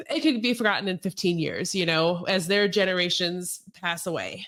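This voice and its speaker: Medium in pitch with ordinary pitch variation, this woman has an ordinary speaking voice and talks at a moderate pace. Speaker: podcast host. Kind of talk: podcast interview.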